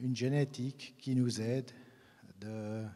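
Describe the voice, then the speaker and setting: In a Swiss German accent, a man at medium pitch speaks at a very slow pace with a dark, mellow tone. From Switzerland, German-speaking region. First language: Swiss German (speaking French). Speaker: grape breeder. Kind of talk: conference talk. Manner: halting, many hesitations.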